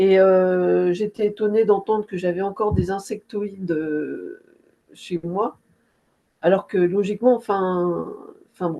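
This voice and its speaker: Speaking very slowly with long, frequent pauses, a woman holds a medium pitch and fairly even intonation. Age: 60s. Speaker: hypnosis session client. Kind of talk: emotional testimony after a session. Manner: halting, many hesitations.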